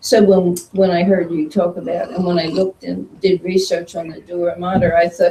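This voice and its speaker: A woman speaks at a fairly quick pace in a fairly low pitch. Her intonation is monotone and flat. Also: hardly any pauses. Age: 80s+. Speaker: meditation group member. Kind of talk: casual group chat. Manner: halting.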